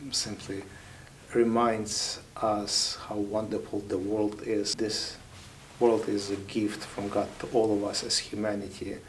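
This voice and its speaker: Amid noticeable background noise and audible room echo, a man with a Ukrainian accent speaks at fairly low pitch and a fairly slow pace in a monotone, flat intonation. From Ukraine. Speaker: military chaplain. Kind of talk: interview.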